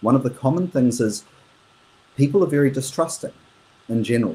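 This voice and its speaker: A man speaks at a moderate pace in a somewhat breathy, dark, mellow tone with ordinary pitch variation. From New Zealand. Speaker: international business professional. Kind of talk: interview conversation. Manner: hesitant, with fillers and repeats.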